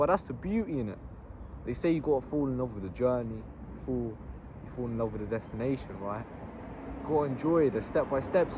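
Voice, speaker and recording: A man speaks in a southern English accent. His pace is fairly quick. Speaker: vlogger. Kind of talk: casual monologue. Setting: outdoors in a park. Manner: animated.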